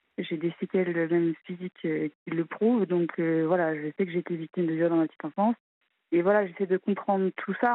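Medium pitch, moderate speed and fairly level intonation in a woman's unremarkable speaking voice. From Normandy, France. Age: 30s. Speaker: caller, incest survivor. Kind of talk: testimony. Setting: phone call.

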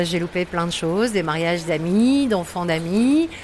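Noticeable background noise surrounds a woman whose voice sits at a medium pitch. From northern France (Lille area). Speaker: stadium announcer, former radio host. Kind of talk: interview testimony.

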